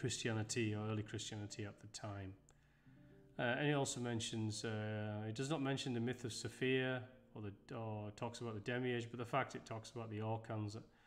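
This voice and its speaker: A man's voice with fairly even intonation over music in the background. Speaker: presenter. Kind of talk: lecture. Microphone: webcam.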